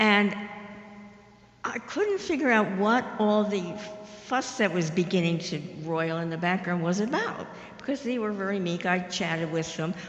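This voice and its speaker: A woman speaks with ordinary pitch variation and long, frequent pauses as music plays in the background. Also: medium pitch for a woman, moderate pace. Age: 80s+. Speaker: audience member. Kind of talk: audience question.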